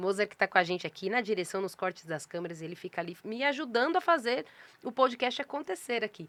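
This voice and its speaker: Recorded very cleanly against a silent background, with a dry, close sound and no echo, a woman speaks at a medium pitch with very wide pitch swings. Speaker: podcast host and publisher. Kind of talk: casual interview intro. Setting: podcast studio with cameras. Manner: slow, deliberately paused.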